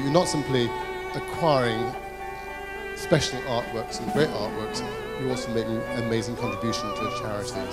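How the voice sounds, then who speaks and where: A man's voice over loud music in the background. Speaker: auctioneer. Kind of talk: charity auction bidding call. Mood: cheerful, slightly amused. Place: hall.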